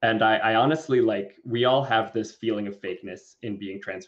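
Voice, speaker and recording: Medium-pitched male voice with a Southern Californian accent and ordinary pitch variation. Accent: Valley Girl. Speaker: cricket rancher. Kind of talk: podcast interview. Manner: animated.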